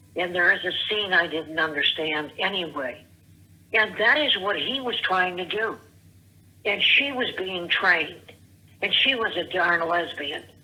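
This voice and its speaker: A woman at medium pitch speaks at a fairly slow pace with lively intonation amid noticeable background noise. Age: 70s. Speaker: caller. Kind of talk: voicemail rant. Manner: rambling, halting.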